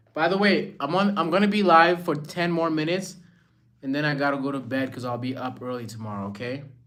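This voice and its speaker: With an American accent, a man races along at a very fast pace, his fairly high voice carrying lively intonation over audible room echo. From Rwanda. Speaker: live streamer. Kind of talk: casual chat. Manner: animated.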